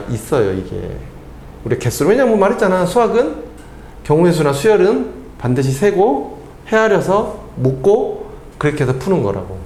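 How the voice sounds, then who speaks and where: A man's voice with very wide pitch swings, noticeable background noise, and audible room echo. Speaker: math tutor. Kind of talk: lecture. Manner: fast.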